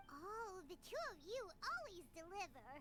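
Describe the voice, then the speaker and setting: A woman uses a put-on character voice, squeaky and extremely high in pitch, at a moderate pace over clear background noise. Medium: video game. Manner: bubbly, energetic.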